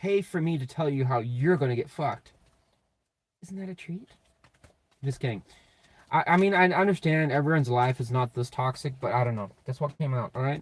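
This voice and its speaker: Somewhat breathy and fairly high-pitched, a man speaks at a fairly quick pace with long, frequent pauses. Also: ordinary pitch variation. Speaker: tarot reader. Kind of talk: live tarot reading. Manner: casual, profane.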